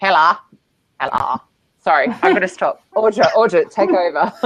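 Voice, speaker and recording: With lively intonation, a woman with an Australian accent speaks at a moderate pace. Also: medium pitch for a woman. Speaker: show host introducing a guest. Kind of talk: casual, playful. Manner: chatty, enthusiastic.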